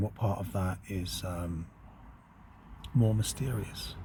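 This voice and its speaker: This man's voice is somewhat breathy, with ordinary pitch variation. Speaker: occult channel host. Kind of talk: spiritual monologue. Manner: reflective, slow.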